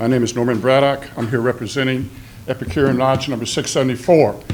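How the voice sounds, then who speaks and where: Over noticeable background noise and audible room echo, a man at a medium pitch speaks at a very fast pace with fairly even intonation. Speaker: fraternal lodge representative, public commenter. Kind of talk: public comment speech. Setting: city council meeting. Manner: loud.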